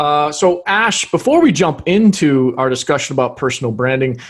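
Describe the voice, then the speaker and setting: In an unremarkable speaking voice, a man with an American accent talks at a fairly high pitch with lively intonation. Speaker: podcast host. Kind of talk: interview.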